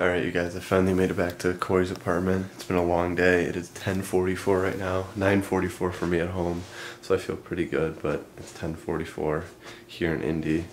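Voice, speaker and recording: Against light background noise, a man with a very deep, low pitch speaks at a moderate pace in a monotone, flat intonation. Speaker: vlogger. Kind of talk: casual vlog chat. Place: home room. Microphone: phone near.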